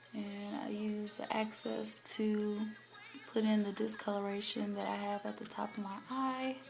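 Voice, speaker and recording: Over noticeable background noise and audible room echo, a woman talks fairly slowly. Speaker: beauty vlogger. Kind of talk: tutorial. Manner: casual, hesitant with fillers.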